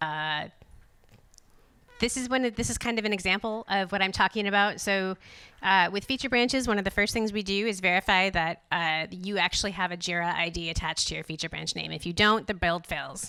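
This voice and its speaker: A woman with a medium-pitched voice and a bright, sharp tone speaks at a fairly quick pace with ordinary pitch variation. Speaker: conference speaker. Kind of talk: conference presentation. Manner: fast.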